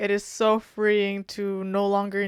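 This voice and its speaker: A woman talks in a medium pitch. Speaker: tech worker. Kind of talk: casual vlog talk to camera.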